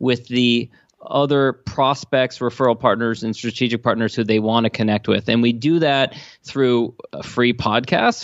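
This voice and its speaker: This man has an unremarkable speaking voice with an American accent. He speaks at a moderate pace in a medium pitch. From Washington DC area. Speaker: entrepreneur and podcast host. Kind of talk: interview.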